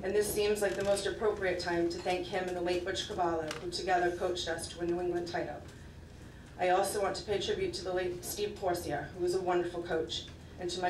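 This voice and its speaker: A woman speaks very fast in a fairly low pitch with monotone, flat intonation. There is audible room echo and light background noise. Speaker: softball coach. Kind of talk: acceptance speech. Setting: stage with audience. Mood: grateful, reflective. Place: hall.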